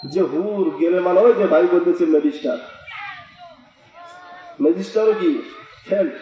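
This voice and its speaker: A high-pitched man's voice with lively intonation and very even loudness, over noticeable background noise. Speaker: Islamic preacher. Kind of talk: religious sermon.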